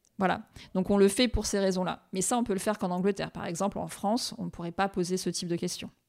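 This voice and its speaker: A woman at a medium pitch, very fast, with fairly even intonation, on a very clean recording with a silent background. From Réunion. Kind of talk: interview.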